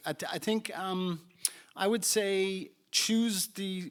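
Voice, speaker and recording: The man's voice is high in pitch. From Ireland. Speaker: startup founder and CEO. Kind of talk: panel discussion.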